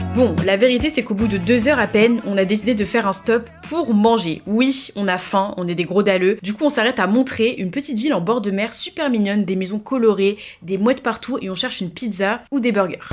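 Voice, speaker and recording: A woman speaks at a fairly quick pace with a fairly high pitch and ordinary pitch variation. Music plays in the background. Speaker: vlogger. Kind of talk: scripted narration.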